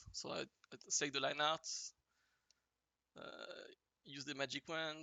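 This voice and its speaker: Someone speaks at a moderate pace with a strong French accent. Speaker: digital artist. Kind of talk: tutorial. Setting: livestream. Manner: halting, many fillers.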